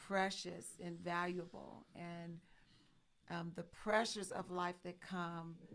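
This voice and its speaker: Very slow, flat, monotone delivery. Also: woman. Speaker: talk show co-host. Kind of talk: live-stream talk show conversation. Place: home room. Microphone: studio mic.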